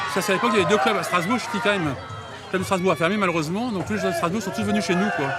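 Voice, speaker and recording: A high-pitched man talks at a very fast pace with lively intonation and hardly any pauses. Crowd noise and audible room echo fill the background. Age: 50s. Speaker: sports club president. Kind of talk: casual interview.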